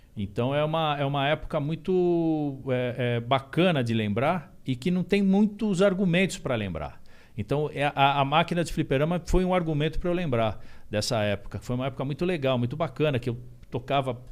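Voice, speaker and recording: At a moderate pace, a man speaks with a fairly high pitch and lively intonation. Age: 50s. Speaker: musician. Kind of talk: podcast interview. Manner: halting, many fillers and repeats.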